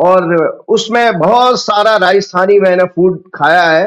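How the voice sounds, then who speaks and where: This man has a high-pitched voice. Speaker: astrologer. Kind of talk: interview.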